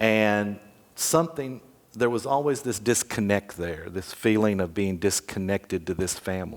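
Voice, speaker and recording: A man with a Tennessee accent speaks at a moderate pace in a fairly low voice. His intonation is lively. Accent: Southern US (Tennessee). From US South. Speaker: memoir author. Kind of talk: interview. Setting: stage with audience.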